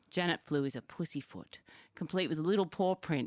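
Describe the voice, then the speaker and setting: A woman with an Australian accent and a very deep, low pitch talks at a fairly quick pace with ordinary pitch variation, in a dry, close sound with no echo. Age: 50s. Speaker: podcast co-host. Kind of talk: casual chat.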